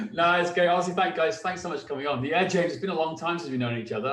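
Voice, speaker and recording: Background noise is noticeable throughout. There is also audible room echo. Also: man. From North Wales. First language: Welsh. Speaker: fitness coach, former police officer. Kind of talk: casual chat.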